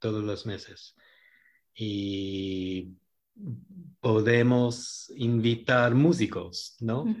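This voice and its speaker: A man talks at a medium pitch with ordinary pitch variation. His pace is very slow, with long, frequent pauses. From New York, US. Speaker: bookstore marketing director and documentary maker. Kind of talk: casual radio interview. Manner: halting.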